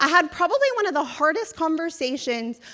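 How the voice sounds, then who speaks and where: Here a woman speaks in an animated tone with lively intonation. Her voice sounds bright and sharp. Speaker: event committee chair. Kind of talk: event speech. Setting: stage with audience. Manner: loud.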